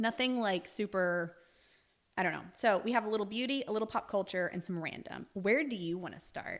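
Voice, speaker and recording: Speaking with a slight Southern US accent, a woman has a medium-pitched voice. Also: ordinary pitch variation, fairly quick pace. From US South, Alabama; Navy family, moved around. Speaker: podcast co-host. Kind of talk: casual chat.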